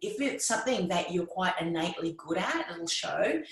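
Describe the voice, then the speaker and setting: A woman with an Australian accent talks at a medium pitch with very wide pitch swings. Noticeable background noise and audible room echo are present. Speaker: podcasting coach. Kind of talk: interview conversation.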